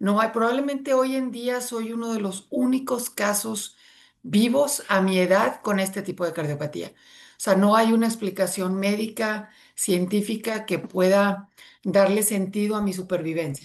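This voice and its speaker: A woman's medium-pitched voice at a fairly slow pace against a quiet background. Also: ordinary pitch variation. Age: 60s. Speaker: near-death experience survivor. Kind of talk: interview testimony. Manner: halting.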